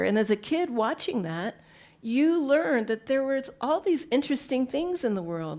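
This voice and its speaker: A woman speaks at a high pitch in an American accent. Her pitch swings very widely. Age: 60s. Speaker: radio program director and moderator. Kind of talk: panel discussion.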